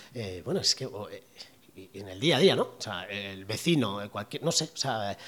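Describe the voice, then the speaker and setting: This man talks at a fairly slow pace with vocal fry and very wide pitch swings. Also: very clean recording, silent background. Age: 40s. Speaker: podcast host and entrepreneur. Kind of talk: solo podcast talk. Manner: casual with many fillers.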